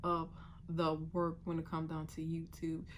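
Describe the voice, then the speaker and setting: There is audible room echo around this woman's voice. She speaks at a moderate pace with a fairly low pitch. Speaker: vlogger and sewing content creator. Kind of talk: casual vlog monologue.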